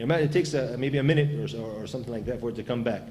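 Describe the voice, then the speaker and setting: Speech comes at a very fast pace. Noticeable background noise and audible room echo fill the recording. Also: man. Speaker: Islamic preacher. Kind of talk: lecture. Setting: venue with audience and microphone. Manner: loud.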